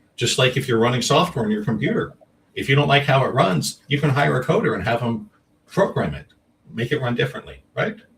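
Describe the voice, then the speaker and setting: A man speaks at a fairly quick pace. Vocal fry runs through his voice. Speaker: energy healer and author. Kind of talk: interview. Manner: fast.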